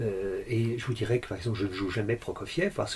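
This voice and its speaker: A man with a mid-range pitch talks at a moderate tempo while noticeable noise sounds behind him. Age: 60s. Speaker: concert pianist and music teacher. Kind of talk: interview. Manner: halting, many repetitions and hesitations.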